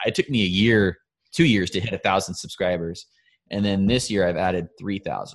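At a fairly quick pace, a man with a normal speaking voice talks at a fairly low pitch with ordinary pitch variation, in a very clean recording with a silent background. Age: 20s. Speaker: hunting YouTuber and podcast host. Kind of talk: casual chat.

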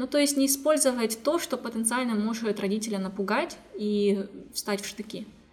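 Moderately paced speech from a woman with a fairly high pitch, music playing behind her. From Kazakhstan, Zhezkazgan. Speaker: inclusive education center founder. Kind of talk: interview.

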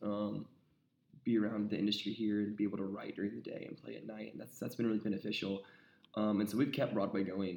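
This man talks at a very fast pace with an American accent, his fairly low voice monotone and flat, marked by vocal fry and big swings in loudness. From South Carolina, US South. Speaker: country rock singer-songwriter. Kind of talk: casual interview chat.

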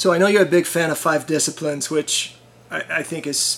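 Noticeable background noise sits behind a monotone, flat delivery at a moderate pace. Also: man. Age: 50s. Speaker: podcast host. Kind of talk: interview.

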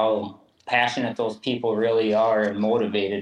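This man speaks in a flat monotone at a medium pitch with an Upper Midwest accent. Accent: Upper Midwest American. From southeast Minnesota. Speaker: hoof trimmer and cattle fitter. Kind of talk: interview.

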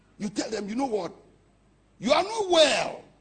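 Very wide pitch swings in a Ghanaian accent, with audible room echo. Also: man. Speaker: pastor. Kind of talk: impassioned Pentecostal sermon expounding scripture on humility. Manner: emphatic, declamatory preaching cadence; rhetorical, building points with punchy short sentences.

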